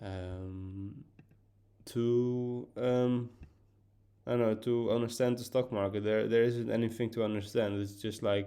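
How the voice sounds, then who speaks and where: Speaking with a Dutch accent, a man has a dark, mellow tone. His pace is fairly slow and his intonation fairly even. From Netherlands. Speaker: podcaster. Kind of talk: casual monologue. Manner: halting, many fillers and repeats.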